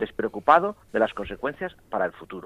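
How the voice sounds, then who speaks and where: Very wide pitch swings run through a man's speech, delivered at a moderate speed. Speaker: priest and bioethics professor. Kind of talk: radio panel discussion. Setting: phone call. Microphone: telephone line.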